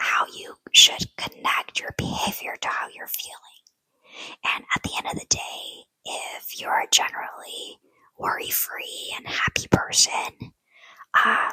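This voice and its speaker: At a very slow pace, the speaker keeps to a whisper. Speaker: ASMR storyteller. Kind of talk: whispered ASMR personal story to camera. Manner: whispered, soft.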